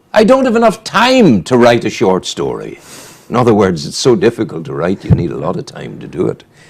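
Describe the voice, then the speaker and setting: A man speaks at a moderate pace in a Northern Irish accent. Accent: Northern Irish (Newry). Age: 70s. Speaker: radio host. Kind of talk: casual chat; reading aloud.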